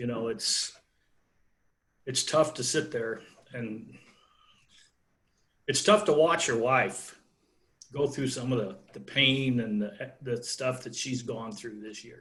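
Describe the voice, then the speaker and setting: A man's very slow speech, with long, frequent pauses and big swings in loudness. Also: medium pitch for a man, ordinary pitch variation. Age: 60s. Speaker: wrestling coach. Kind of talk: interview.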